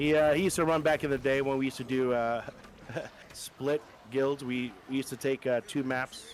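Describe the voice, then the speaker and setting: At a fairly quick pace and medium pitch, a man talks with fairly even intonation amid noticeable background noise. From Puerto Rico. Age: 40s. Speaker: gaming guild leader. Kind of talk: casual interview.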